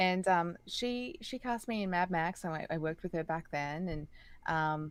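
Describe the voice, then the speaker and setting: With an Australian accent, a woman talks at a moderate pace in a fairly low pitch with ordinary pitch variation, on a very clean recording with a silent background. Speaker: singer and voice actress. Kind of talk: interview conversation. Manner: hesitant, many fillers.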